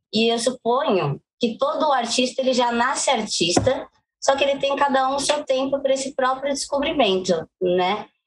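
Moderately paced female speech in a plain, everyday voice, lively in intonation. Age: 20s. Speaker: poet, singer and actress. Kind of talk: interview.

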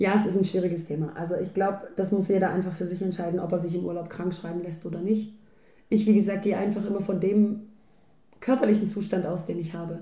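A woman speaks very fast in a dark, mellow tone that is somewhat breathy. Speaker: podcast co-host. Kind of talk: casual chat. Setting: home kitchen.

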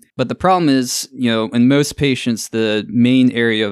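A man speaks at a moderate pace with a Southern US accent, a medium pitch, ordinary pitch variation, and a dry, close sound with no echo. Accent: Southern American. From US South, Augusta, Georgia. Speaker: ENT surgeon. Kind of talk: interview. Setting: studio.

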